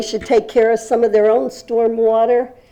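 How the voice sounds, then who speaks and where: Her pitch is fairly high. The woman's tone is dark and mellow. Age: 80s+. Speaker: public commenter. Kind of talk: public comment at council hearing. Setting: city council meeting. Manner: halting.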